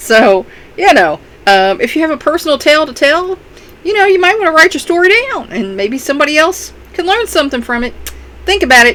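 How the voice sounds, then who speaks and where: Speaking at a fairly quick pace with a Kentucky accent, the voice makes very wide pitch swings over noticeable background noise. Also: woman, high pitch for a woman. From Kentucky, US. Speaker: self-help vlogger and author. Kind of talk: casual talk to camera. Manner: hesitant, many fillers.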